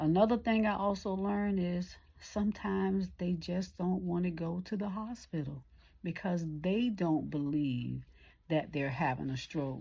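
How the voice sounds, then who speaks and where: A somewhat breathy woman's voice, fairly low in pitch, at a fairly slow pace. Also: ordinary pitch variation. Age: 60s. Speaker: caregiver and vlogger. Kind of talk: casual vlog monologue. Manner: conversational, informal.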